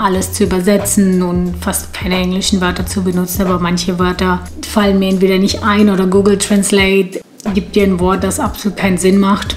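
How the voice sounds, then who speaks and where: Noticeable background noise behind a woman speaking in a medium pitch. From Ukraine or Russia, grew up in Germany from age four. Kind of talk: casual talk to camera.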